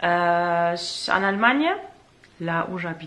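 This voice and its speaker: Noticeable background noise under a woman's speech, pitch varying in an ordinary way. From northern Germany. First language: German (speaking French). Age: 30s. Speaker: vlogger. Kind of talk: casual vlog talk to camera. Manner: hesitant, many fillers.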